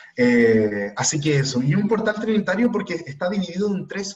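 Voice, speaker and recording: At a moderate pace, a man with a Chilean accent speaks in a high pitch with very wide pitch swings. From Chile, Iquique. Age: 20s. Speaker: spiritual teacher. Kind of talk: online talk.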